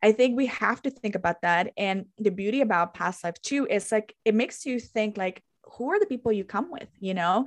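A woman with a Spanish accent at a moderate pace, hardly any pauses and ordinary pitch variation. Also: fairly high pitch for a woman. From Guatemala. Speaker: podcast host and holistic interior designer. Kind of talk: casual chat.

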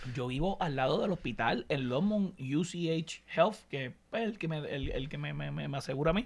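With lively intonation and hardly any pauses, a man speaks at a fairly slow pace and a fairly high pitch. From Puerto Rico (Añasco, west coast). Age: 30s. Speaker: podcast co-host. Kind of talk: casual chat.

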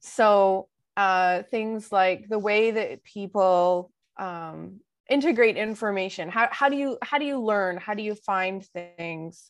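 Against a quiet background, a woman speaks very slowly at a medium pitch with ordinary pitch variation. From Western Canada, Vancouver. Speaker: legal information organization executive. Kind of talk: interview. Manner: halting, many fillers and repetitions.

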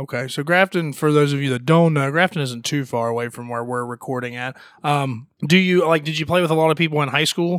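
This is a man with a normal speaking voice and a fairly high pitch. He talks at a fairly quick pace with hardly any pauses and ordinary pitch variation. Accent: American. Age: 20s. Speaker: podcast host and musician. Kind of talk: casual chat. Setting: studio.

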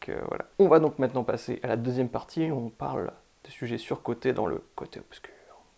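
A man talks at a fairly quick pace, his loudness swinging widely, with noticeable background noise behind him. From northern France. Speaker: podcast host. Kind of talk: casual chat.

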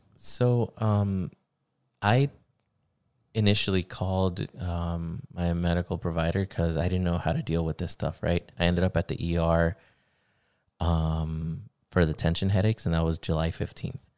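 In a very clean recording with a silent background and a dry, close sound with no echo, a man with an American accent speaks at a very deep, low pitch and a moderate pace, using ordinary pitch variation and long, frequent pauses. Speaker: podcast co-host. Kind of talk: casual podcast conversation about mental health. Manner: casual, joking.

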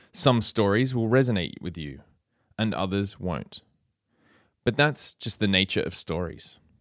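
On a very clean recording with a silent background and dry, close sound with no echo, a man with an Australian accent talks fairly slowly in a fairly low voice, with lively intonation and long, frequent pauses. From Australia, Sydney. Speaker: music teacher and podcast host. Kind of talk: keynote speech. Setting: conference stage.

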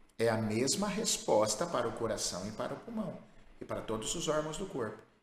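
A man's voice moves through very wide pitch swings. Audible room echo is present. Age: 50s. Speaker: therapist and course creator. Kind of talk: live advice session reading listener letters.

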